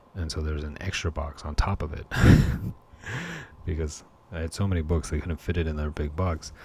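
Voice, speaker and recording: A man whispering at a fairly quick pace, broken by long, frequent pauses, over noticeable background noise. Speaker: collectibles hobbyist. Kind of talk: casual talk to camera. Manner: whispered.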